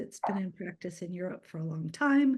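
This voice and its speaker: The voice is somewhat breathy and moves at a fairly quick pace. The background is quiet. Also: woman. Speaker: community energy organizer. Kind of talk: presentation.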